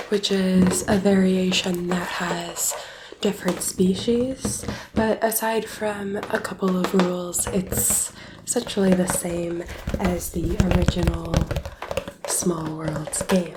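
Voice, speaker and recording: A soft-spoken woman at medium pitch talks at a very slow pace with fairly even intonation amid noticeable background noise. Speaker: board game teacher. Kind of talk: board game rules tutorial.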